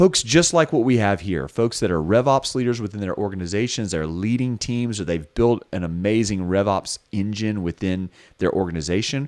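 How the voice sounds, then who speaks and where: In a very clean recording with a silent background, a man with a Southern US accent talks at a moderate pace and a fairly low pitch, with lively intonation and hardly any pauses. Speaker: podcast co-host, recruiter. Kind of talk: casual chat.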